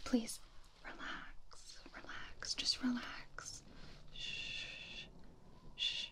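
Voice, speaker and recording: A woman is whispering. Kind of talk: soft-spoken role-play monologue. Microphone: studio mic.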